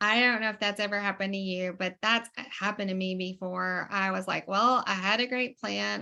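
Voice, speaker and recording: A woman with an American accent speaks at a moderate pace in a bright, sharp tone against a quiet background. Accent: Southern US accent, remarked on by viewers. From US South. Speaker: online community call host. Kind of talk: video call hosting. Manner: animated.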